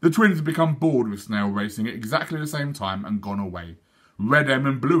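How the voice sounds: The reading voice is natural, and its intonation is lively.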